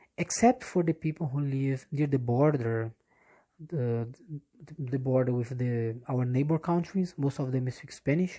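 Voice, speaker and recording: In a Portuguese accent, a woman speaks fairly slowly in a very deep, low voice with a dark, mellow tone and ordinary pitch variation. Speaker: English teacher. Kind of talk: casual monologue. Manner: halting, many fillers and restarts.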